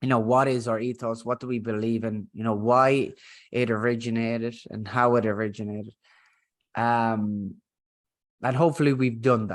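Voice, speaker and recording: A man with a strong Irish accent at a moderate pace. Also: medium pitch for a man, fairly even intonation. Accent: thick Irish. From Ireland. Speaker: business founder and podcast host. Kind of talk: podcast conversation. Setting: remote recording, co-host in next room. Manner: casual, filler-heavy.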